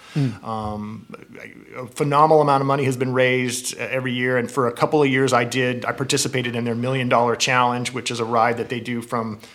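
A man with an American accent talks at a very fast pace in a flat monotone over noticeable background noise. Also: medium pitch for a man. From Southern California (San Gabriel Valley area). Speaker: cycling apparel sales director. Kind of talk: casual interview. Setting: in person at company headquarters.

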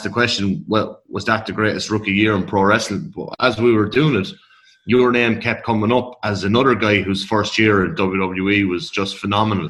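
The speaker has an Irish accent and talks at a moderate pace. Pitch varies in an ordinary way. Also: man. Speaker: podcast co-host. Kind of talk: interview.

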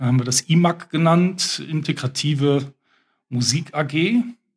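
This man's voice is somewhat breathy and has ordinary pitch variation. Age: 50s. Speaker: special-needs school headteacher. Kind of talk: casual interview chat. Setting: youth centre, children in background.

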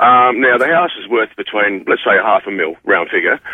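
With a slightly husky edge, a man talks at a fairly quick pace in a dry, close sound with no echo.

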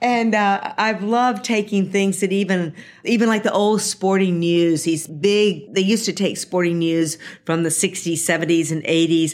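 A woman speaks in a normal speaking voice, fairly low in pitch, with ordinary pitch variation. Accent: American. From US South, Jackson, Mississippi. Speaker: ballpark planning executive. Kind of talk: interview. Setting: office at a stadium.

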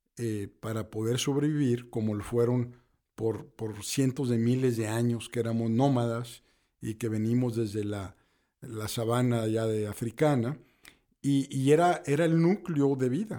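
A man speaks at medium pitch and a fairly slow pace, with a dark, mellow tone. The recording is very clean, with a silent background. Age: 60s. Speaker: business consultant and professor. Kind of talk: casual interview. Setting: studio.

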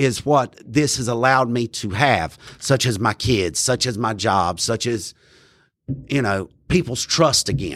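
A man at a medium pitch with a North Carolina accent and ordinary pitch variation, on a very clean recording with a silent background. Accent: US Southern (North Carolina). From North Carolina, Randolph County. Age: 40s. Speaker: person in recovery, peer support specialist. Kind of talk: testimony. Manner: halting.

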